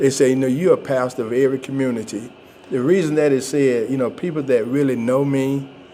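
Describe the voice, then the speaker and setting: Through noticeable background noise, a man at medium pitch talks at a very fast pace with fairly even intonation and a Georgia accent. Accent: Southern US (Georgia). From US South, Georgia (Thomaston). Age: 60s. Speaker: pastor. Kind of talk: interview. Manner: halting.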